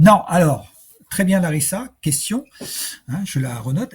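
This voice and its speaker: Lively intonation marks this man's speech. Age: 60s. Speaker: personal development coach. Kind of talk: webinar Q&A. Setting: online webinar. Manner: hesitant, many fillers; slow.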